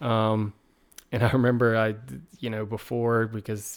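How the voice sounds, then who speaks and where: A man with a slight Southern US accent speaks at a medium pitch with fairly even intonation, in a very clean recording with a silent background. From Virginia, US. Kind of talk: casual interview chat.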